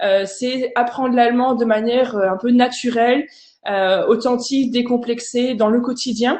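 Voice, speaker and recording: Intonation stays fairly even while the words come out at a very slow pace. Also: woman. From France, Alsace. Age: 30s. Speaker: language teacher and online content creator. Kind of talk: online conference presentation. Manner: hesitant, many fillers.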